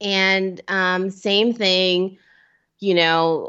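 The speaker is a woman. Her pitch sits at a medium level. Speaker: amateur marathon runner and podcaster. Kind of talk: casual chat.

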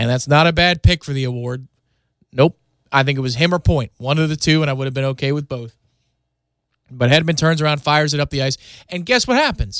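Against a quiet background, a man talks at a fairly high pitch. His pace is fairly quick, with long, frequent pauses. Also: ordinary pitch variation. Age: 30s. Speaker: sports podcast host. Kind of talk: solo sports podcast monologue. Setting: radio studio. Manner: animated.

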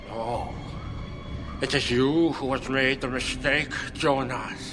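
Loud background noise surrounds a put-on character voice delivered at a fairly slow pace. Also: man, medium pitch for a man.

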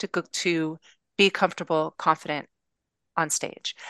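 With an American accent, a voice with a bright, sharp tone and monotone, flat intonation moves at a fairly slow pace, dry and close with no echo against a quiet background. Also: woman. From Los Angeles, US. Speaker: web developer. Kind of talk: casual interview chat.

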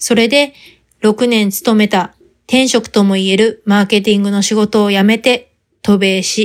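A woman has an ordinary speaking voice with a fairly high pitch. She talks at a fairly slow pace with fairly even intonation. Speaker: podcast host. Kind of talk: scripted monologue.

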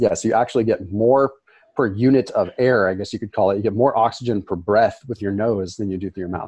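A man with a Californian accent speaks at a very fast pace. His medium pitch has ordinary variation. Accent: American (Californian). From Northern California (Sonoma). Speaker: health expert. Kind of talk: interview. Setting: studio, in person.

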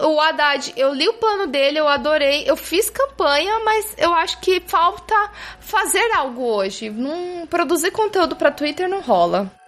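A woman speaks at an extremely high pitch with very wide pitch swings, at a fairly slow pace with hardly any pauses. Noticeable background noise runs underneath. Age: 20s. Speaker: podcast panelist. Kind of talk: casual chat. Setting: studio.

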